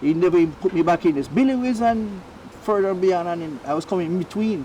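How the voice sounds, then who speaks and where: Over noticeable background noise, a man talks very fast at a high pitch with ordinary pitch variation. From Jamaica, Spanish Town. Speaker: racehorse trainer. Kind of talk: interview.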